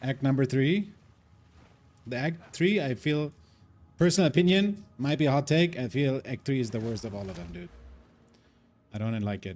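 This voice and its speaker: A man with a non-native accent, medium in pitch, at a moderate pace, with very wide pitch swings. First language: not English. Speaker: gaming streamer. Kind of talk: live gameplay stream chat. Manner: casual, filler-heavy.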